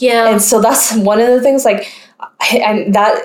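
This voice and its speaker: With an American accent, this is an ordinary speaking voice, delivered at a moderate pace with fairly even intonation. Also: woman. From US South, North Carolina. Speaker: podcast host. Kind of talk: casual chat.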